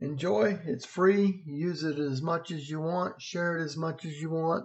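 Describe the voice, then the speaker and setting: Using a normal speaking voice, a man talks with a fairly slow pace and a fairly high pitch, his pitch varying in an ordinary way. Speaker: weather blogger. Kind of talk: weather vlog walkthrough. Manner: casual, conversational.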